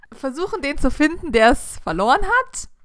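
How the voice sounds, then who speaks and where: Very wide pitch swings run through a woman's fairly slow delivery. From southern Germany, village. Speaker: podcast host. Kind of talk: casual chat.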